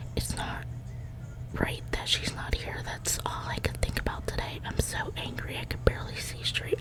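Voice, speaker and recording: A woman whispers at a moderate pace, with noticeable background noise around her. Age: 20s. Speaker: ASMR creator. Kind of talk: ASMR reading of a fictional journal, whispered. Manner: soft, whispered.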